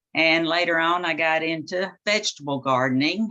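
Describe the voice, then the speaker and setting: A woman with a fairly low pitch and a bright, sharp tone. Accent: Southern US. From US South, southern Arkansas. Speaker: author and gardening teacher. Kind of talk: presentation. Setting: video call.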